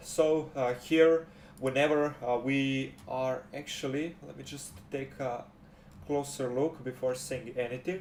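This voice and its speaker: This speaker has a non-native accent and fairly even intonation. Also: man. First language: not English. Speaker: game development tutorial creator. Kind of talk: tutorial. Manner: halting, many fillers.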